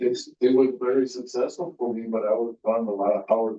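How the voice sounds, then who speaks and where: This man has an unremarkable speaking voice, with fairly even intonation at a moderate pace. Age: 60s. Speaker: audience member, trucking business owner. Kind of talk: audience question.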